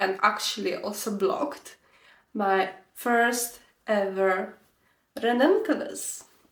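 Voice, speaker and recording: Speaking with a Slovak accent, a woman has a fairly high pitch. Her pace is very slow. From Slovakia. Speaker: knitting podcaster. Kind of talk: casual vlog chat. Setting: bedroom.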